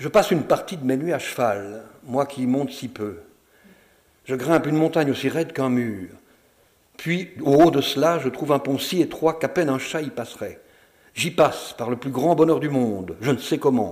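A man with a fairly high voice speaks at a moderate pace. His intonation is lively, broken by long, frequent pauses. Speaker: actor reading texts aloud. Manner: formal, measured, with ironic, wistful lightness.

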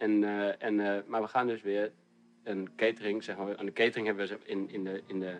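The man's pitch is fairly low, and he talks at a very fast pace. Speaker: pizza maker. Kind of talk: casual chat.

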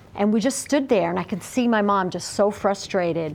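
In an unremarkable speaking voice of medium pitch, a woman talks at a moderate pace with ordinary pitch variation. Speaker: interviewee sharing experience. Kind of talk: interview testimony.

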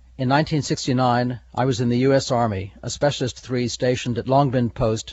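A man's somewhat breathy voice. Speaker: retired police officer. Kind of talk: interview recollection.

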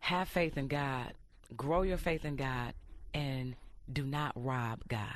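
In an American accent, a woman with a very deep, low voice speaks very slowly with ordinary pitch variation, leaving long, frequent pauses in a room with audible echo. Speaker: radio host guest. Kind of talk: casual interview. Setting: studio.

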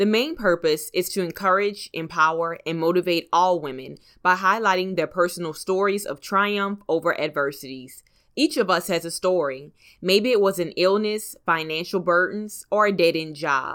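Recorded very cleanly against a silent background, a woman with a plain, everyday voice speaks at medium pitch and a moderate pace, with ordinary pitch variation. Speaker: podcast host. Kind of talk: podcast interview intro and conversation. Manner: upbeat, motivational.

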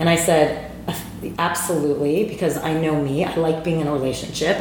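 Someone with an American accent speaks with fairly even intonation over noticeable background noise and audible room echo. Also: woman. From New Jersey. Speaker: meditation studio owner, former TV executive. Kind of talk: casual interview chat.

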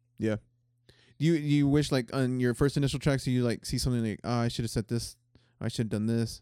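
The man's voice sits at a medium pitch with a dark, mellow tone and fairly even intonation. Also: fairly quick pace. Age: 30s. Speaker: podcast host. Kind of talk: casual chat. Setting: studio.

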